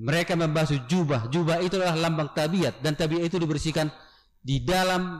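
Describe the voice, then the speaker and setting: The setting behind him is quiet. This man talks at a medium speed. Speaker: pastor. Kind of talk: sermon. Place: church. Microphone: podium.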